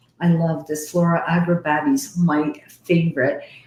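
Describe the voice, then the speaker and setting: With a Canadian accent, a woman talks at a fairly slow pace in a dark, mellow, somewhat breathy tone. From Canada. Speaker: psychic medium hosting live readings. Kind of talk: live stream chat and readings. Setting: live video call stream with headset. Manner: animated.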